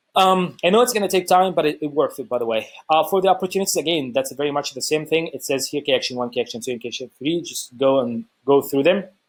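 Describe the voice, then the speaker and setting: With an Egyptian accent, a man talks at a very fast pace and a fairly high pitch, with lively intonation and hardly any pauses, on a very clean recording with a silent background. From Egypt (Cairo). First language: Arabic. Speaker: YouTuber sharing travel experiences. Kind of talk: casual vlog explainer. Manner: halting, many fillers and restarts.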